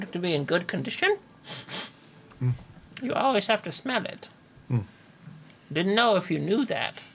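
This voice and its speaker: The speaker uses a put-on character voice with a fairly high pitch. The pace is moderate, with long, frequent pauses. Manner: dry, blunt.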